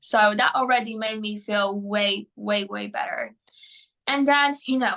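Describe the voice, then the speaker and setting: A woman with a Polish accent speaks at a fairly slow pace in a fairly high pitch with a bright, sharp tone. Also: fairly even intonation. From Poland. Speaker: mental performance coach. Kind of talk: interview. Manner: hesitant, many fillers.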